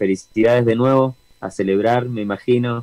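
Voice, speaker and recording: A man's dark, mellow tone with a Rioplatense accent, in a dry, close sound with no echo. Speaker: reggae band singer. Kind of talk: interview. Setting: video call from home studio.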